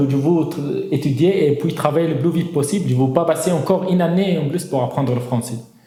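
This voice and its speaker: Someone speaks at a fairly quick pace with ordinary pitch variation, and room echo is audible. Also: man. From northern Syria. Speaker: engineer, migrant giving testimony. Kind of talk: testimony interview. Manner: halting, with false starts.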